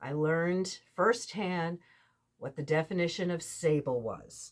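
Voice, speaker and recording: A woman's plain, everyday voice, fairly low in pitch, at a fairly slow pace. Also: ordinary pitch variation. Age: 60s. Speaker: quilting vlogger. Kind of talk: casual vlog talk.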